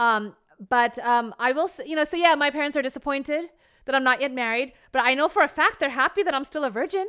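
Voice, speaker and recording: At a very fast pace, a woman speaks in a high, raised, projected voice with a bright, sharp, animated tone and ordinary pitch variation. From New Jersey, US. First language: Bengali. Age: 30s. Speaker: comedian and reality TV contestant. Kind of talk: casual interview chat. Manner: animated, laughs often.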